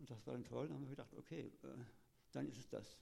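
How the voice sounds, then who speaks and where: A man's dark, mellow voice with vocal fry. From Lower Rhine region, Germany (Kleve, near Dutch border). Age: 70s. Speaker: retired teacher. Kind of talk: interview testimony.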